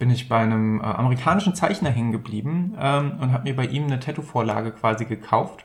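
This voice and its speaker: A somewhat breathy man's voice at medium pitch, fairly quick in pace, with ordinary pitch variation. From Rhineland, Bergisches Land (Germany). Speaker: podcast co-host. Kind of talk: casual chat. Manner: halting, many filler sounds.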